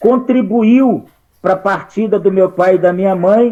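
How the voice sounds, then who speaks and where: Fairly slow in pace, a man with a high pitch talks with ordinary pitch variation. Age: 60s. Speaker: participant in a political discussion group. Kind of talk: group discussion comment.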